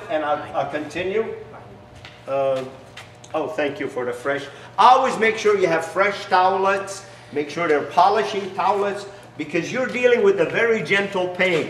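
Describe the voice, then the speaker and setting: A man speaks in a high pitch at a moderate pace. Room echo is audible, along with light background noise. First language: not English. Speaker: business founder; business owner demonstrating product. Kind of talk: sales pitch with demonstration. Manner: halting, many fillers. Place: garage.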